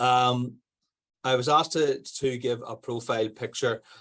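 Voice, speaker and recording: A man with a medium pitch speaks in a Northern Irish accent. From Northern Ireland. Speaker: primary school principal. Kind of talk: conference presentation. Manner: fast.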